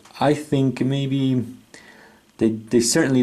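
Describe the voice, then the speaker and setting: A man with a non-native accent, a dark, mellow tone and a fairly slow pace. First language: not English. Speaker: chess set reviewer. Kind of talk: product review. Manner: hesitant, with many fillers.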